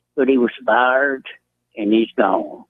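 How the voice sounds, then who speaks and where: A man speaks at a fairly slow pace with a Southern US accent. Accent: Southern American. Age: 70s. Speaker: caller. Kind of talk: radio call-in. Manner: polite, measured.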